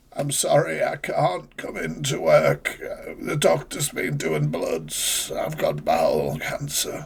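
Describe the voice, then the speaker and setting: A raspy put-on character voice from a man at a fairly slow pace. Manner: put-on weak, sickly voice.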